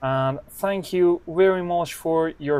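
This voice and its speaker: Very slow speech from a man with a non-native accent. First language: not English. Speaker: snooker commentator. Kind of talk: live commentary. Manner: non-native, some hesitation.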